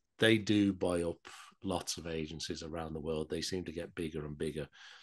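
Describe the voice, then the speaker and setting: A man's very deep, low voice, monotone and flat, at a moderate pace against a quiet background. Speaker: podcast host. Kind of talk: interview host talk.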